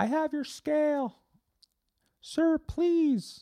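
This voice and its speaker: A squeaky, high-pitched put-on character voice comes through on a very clean recording with a silent background. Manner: polite, servile.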